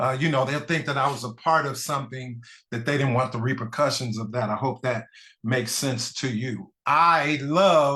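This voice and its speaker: Speaking at a moderate pace against a quiet background, a man uses a bright, sharp tone at medium pitch with ordinary pitch variation. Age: 50s. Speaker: pastor. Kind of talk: panel talk, personal testimony.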